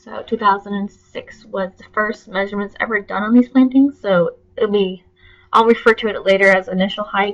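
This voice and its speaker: Music plays behind a woman speaking at a medium pitch. She keeps a moderate pace and fairly even intonation. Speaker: graduate student presenter. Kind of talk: class presentation.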